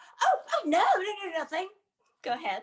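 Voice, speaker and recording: A woman puts on a squeaky, extremely high character voice with lively intonation at a moderate pace. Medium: stage play.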